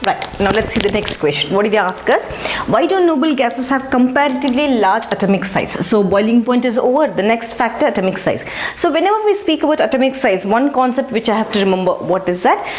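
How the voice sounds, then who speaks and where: A woman talks at a very fast pace with a high pitch that swings very widely, while her loudness stays very even. Noticeable background noise and audible room echo fill the recording. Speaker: chemistry teacher. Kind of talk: lecture.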